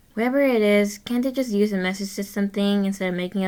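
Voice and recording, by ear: Natural-voiced reading aloud, its pitch varying in an ordinary way.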